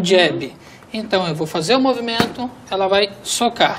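Someone talks at a moderate pace with noticeable background noise present. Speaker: guest. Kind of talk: tutorial. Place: studio. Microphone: lapel.

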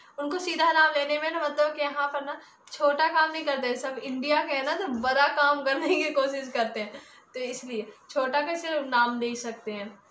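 Light background noise and audible room echo surround a woman speaking at a high pitch and moderate pace with ordinary pitch variation. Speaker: vlogger. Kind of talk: casual vlog chat. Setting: at home. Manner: talkative. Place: home room. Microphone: phone near.

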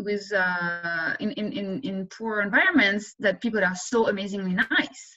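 A woman speaks over a quiet background. Her pitch varies in an ordinary way. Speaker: economics professor. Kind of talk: interview Q&A. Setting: video call. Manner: fast talker. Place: home room. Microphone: webcam.

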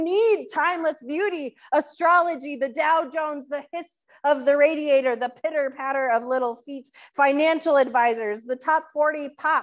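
A woman talks at a moderate pace with a high pitch. The background is quiet. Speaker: pastor. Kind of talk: sermon. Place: church.

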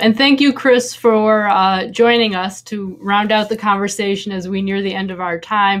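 In an unremarkable speaking voice, a woman talks at a moderate pace with hardly any pauses and fairly even intonation against a quiet background. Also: medium pitch for a woman. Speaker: event moderator. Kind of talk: panel discussion. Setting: video call. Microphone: video call.

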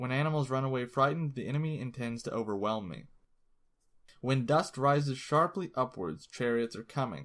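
In a very clean recording with a silent background, a man with an ordinary speaking voice talks at a medium pitch and a moderate pace, using ordinary pitch variation. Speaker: audiobook narrator. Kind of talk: audiobook reading of a classic text, read aloud. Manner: measured, steady, formal.

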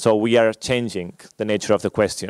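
A man speaks in a monotone, flat delivery with a fairly low pitch. The sound is dry with no echo, against a quiet background. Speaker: conference presenter. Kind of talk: lecture. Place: hall. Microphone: podium.

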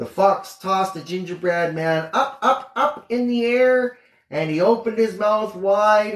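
Simply plain reading aloud

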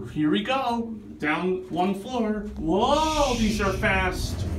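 Music plays in the background as a man's pitch swings very widely. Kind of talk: casual narration commentary. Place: station. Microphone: phone near.

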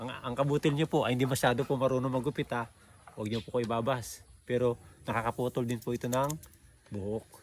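This man talks very fast at a medium pitch. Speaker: vlogger interviewer. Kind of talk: casual respectful interview. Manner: animated; polite, using 'po'.

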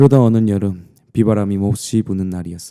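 A man with a dark, mellow tone and fairly low pitch speaks at a fairly slow pace. The recording is very clean with a silent background, dry and close with no echo. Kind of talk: bedtime story ASMR. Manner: soft-spoken, intimate.

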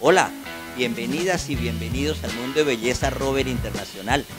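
Moderate pace from a man, clear music in the background. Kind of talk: promotional announcement. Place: home room. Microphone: handheld.

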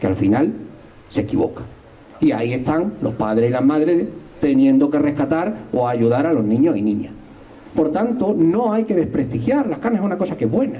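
This man's voice is fairly high and swings very widely in pitch. He keeps a moderate pace and a very even loudness. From not from Algarrobo, moved there a few years ago. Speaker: history teacher and local party candidate; election candidate. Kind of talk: political rally speech. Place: garden. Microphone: handheld.

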